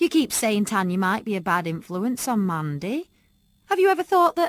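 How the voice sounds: The voice reads in a natural way.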